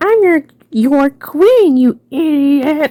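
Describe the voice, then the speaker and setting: A female-sounding, put-on character voice, high in pitch. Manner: bossy, insulting.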